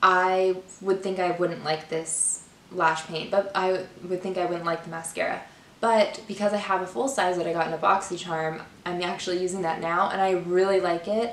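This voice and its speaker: A woman talks at a moderate pace and medium pitch with fairly even intonation. Noticeable background noise runs underneath. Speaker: beauty YouTuber. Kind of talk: casual product review to camera. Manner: casual, filler-heavy.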